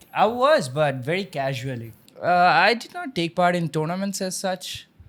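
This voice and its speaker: In a Bengali accent, a man with a high pitch speaks at a moderate pace. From India, Assam. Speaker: engineer. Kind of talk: casual chat.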